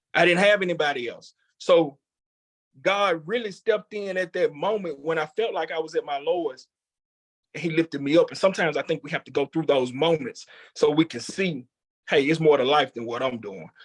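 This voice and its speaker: A normal speaking voice talks at a fairly quick pace with lively intonation and big swings in loudness, in a dry, close sound with no echo. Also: man, fairly high pitch for a man. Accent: American. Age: 30s. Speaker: chef and culinary educator. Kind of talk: interview testimony.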